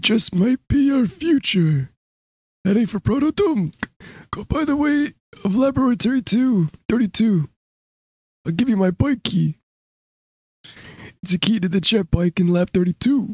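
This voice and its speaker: A put-on character voice with fairly high pitch moves at a fairly slow pace. It has long, frequent pauses. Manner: tired, wistful.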